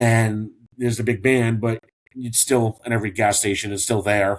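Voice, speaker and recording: Here is a man with an unremarkable speaking voice at medium pitch. His intonation stays fairly even. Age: 50s. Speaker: former firefighter in addiction recovery, training counselor. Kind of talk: podcast interview.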